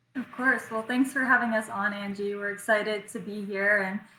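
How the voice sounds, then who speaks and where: Speaking in an American accent, the woman has an ordinary speaking voice at medium pitch with fairly even intonation. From United States. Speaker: ocean rower. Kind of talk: podcast interview.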